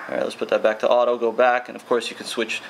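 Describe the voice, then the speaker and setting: Speech comes at a very fast pace. Noticeable background noise runs underneath. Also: man. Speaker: tech reviewer. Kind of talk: product review tutorial. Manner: casual.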